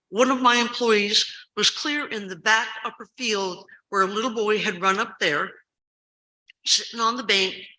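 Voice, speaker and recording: At a fairly slow pace, a woman speaks with a bright, sharp tone. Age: 70s. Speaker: school staff member giving public comment. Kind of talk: public comment at school board meeting. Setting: school board meeting. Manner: animated.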